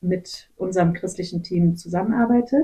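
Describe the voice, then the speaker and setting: A somewhat breathy woman's voice of medium pitch, dark and mellow in tone, with ordinary pitch variation. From western Germany (Gummersbach). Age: 30s. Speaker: missionary, nurse. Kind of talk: interview, personal testimony. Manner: hesitant, many filler sounds.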